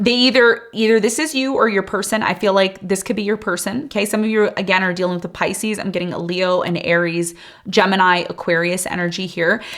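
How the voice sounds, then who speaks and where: A woman speaks at a medium pitch with an animated tone and ordinary pitch variation. Her pace is fairly quick, with hardly any pauses. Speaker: tarot reader. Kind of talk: tarot reading. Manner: fast; casual, animated.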